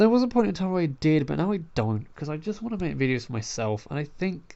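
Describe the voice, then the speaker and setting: The speaker has an English accent. The pace is very fast. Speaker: gaming youtuber. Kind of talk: casual vlog talk. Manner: halting.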